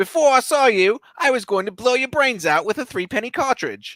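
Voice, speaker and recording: A man's put-on character voice, extremely high-pitched, at a fairly quick pace. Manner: impression of a spirit.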